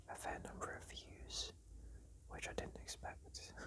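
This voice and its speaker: A man whispers at a fairly slow pace, with noticeable background noise around him. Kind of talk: casual talk to camera. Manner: whispered.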